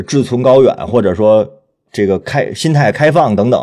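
This man speaks in a medium pitch with a dark, mellow tone. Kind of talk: panel conversation, podcast interview.

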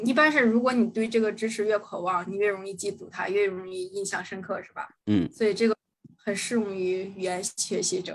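A woman speaks at a fairly quick pace in a plain, everyday voice. Her pitch is medium and her intonation fairly even. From Tianjin, China. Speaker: guest working abroad in Thailand. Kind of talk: casual chat.

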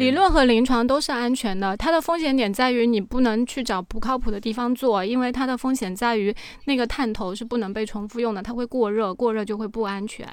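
Here a woman has an ordinary speaking voice and a fairly high pitch with ordinary pitch variation. She moves at a fairly quick pace with hardly any pauses. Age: 30s. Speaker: cosmetic treatment enthusiast. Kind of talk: casual chat.

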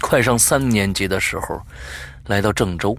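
A man speaks fairly slowly while noticeable background noise carries on. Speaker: podcast host. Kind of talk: reading listener stories aloud. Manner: hesitant with many fillers.

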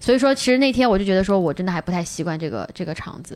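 Here a woman is talking. Her pitch swings very widely. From China. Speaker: stand-up comedian. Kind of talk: casual chat.

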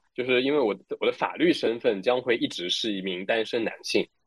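This man's pitch sits in the medium range. His pitch varies in an ordinary way. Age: 20s. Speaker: tutor. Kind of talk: casual chat.

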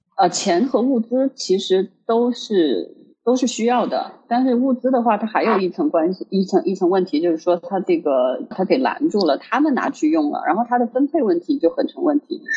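Moderate pace with hardly any pauses. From Hubei, Wuhan. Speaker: podcast co-host. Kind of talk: casual chat.

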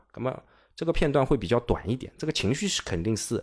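A man rattles along at a very fast pace in a very clean recording, silent background. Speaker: teacher. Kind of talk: casual chat.

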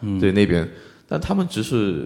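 Speaking with a Korean accent, a man has a fairly low pitch. His pace is moderate. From South Korea, Busan. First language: Korean (speaking Chinese). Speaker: Korean student in China. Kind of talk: live panel discussion.

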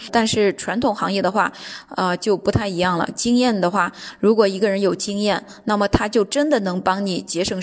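Noticeable background noise sits under the speech. The pace is moderate and the intonation fairly even. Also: woman. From China. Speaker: businesswoman on a sales trip. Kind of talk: personal account. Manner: hesitant with many fillers.

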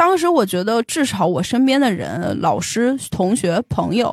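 A woman with a fairly high pitch and vocal fry speaks at a moderate pace with very wide pitch swings, in a dry, close recording with no echo, very clean against a silent background. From Beijing. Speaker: tech company employee sharing life story. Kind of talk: personal testimony in interview.

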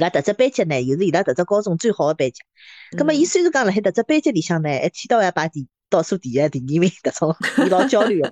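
At a very fast pace and medium pitch, a woman with a Shanghai accent speaks with very wide pitch swings and big shifts in loudness, in a dry, close recording with no echo. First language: Shanghainese (speaking Chinese). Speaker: podcast co-host. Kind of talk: casual chat.

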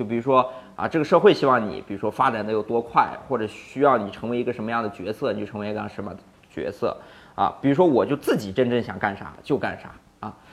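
At a fairly quick pace, a plain, everyday voice comes through with big swings in loudness. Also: man. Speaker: startup founder. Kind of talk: casual interview.

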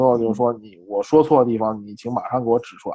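Pitched at a medium level, a man speaks in an unremarkable speaking voice with ordinary pitch variation. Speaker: MBA student. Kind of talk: casual interview.

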